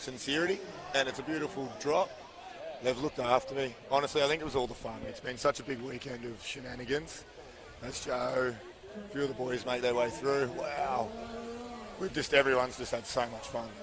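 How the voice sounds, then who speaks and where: With an Australian accent, a man speaks at a fairly quick pace and medium pitch, leaving long, frequent pauses. Noticeable background noise sits behind him. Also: ordinary pitch variation. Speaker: PA announcer and BMX commentator. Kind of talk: live commentary.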